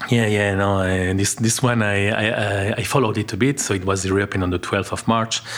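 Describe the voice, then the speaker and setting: A man speaks at a fairly quick pace with fairly low pitch, fairly even intonation and very even loudness. Noticeable background noise runs under the recording. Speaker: think tank academic and music lover. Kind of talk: interview conversation.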